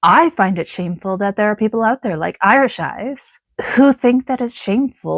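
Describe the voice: The voice is plain reading aloud against a quiet background.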